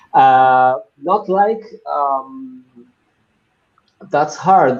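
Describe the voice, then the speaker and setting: A man with a Latin American accent and ordinary pitch variation. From Argentina, Buenos Aires. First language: Spanish. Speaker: business executive. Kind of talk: interview.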